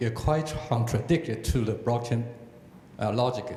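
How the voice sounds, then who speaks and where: A man's voice, with ordinary pitch variation, comes through audible room echo and noticeable background noise. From Taiwan. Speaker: audience member asking a question. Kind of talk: audience question. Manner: halting.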